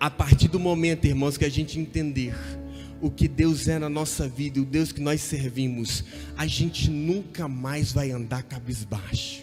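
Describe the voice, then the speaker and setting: Over music in the background, a man with a fairly high pitch speaks at a fairly slow pace with ordinary pitch variation. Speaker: preacher. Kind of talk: sermon.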